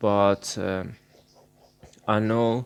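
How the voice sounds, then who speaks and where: A man in a Persian accent, fairly low in pitch, with monotone, flat intonation. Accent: Persian accent, non-native English. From Iran. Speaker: art channel creator. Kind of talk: casual vlog talk. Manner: halting, many fillers. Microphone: recording voice only due to broken laptop.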